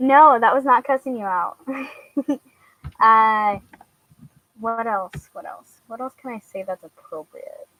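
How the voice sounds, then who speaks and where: Her voice is fairly high with a bright, sharp tone and ordinary pitch variation, as this woman speaks with long, frequent pauses and big swings in loudness in a dry, close sound with no echo. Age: 20s. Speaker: vlogger. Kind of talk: casual chat. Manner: halting, many fillers.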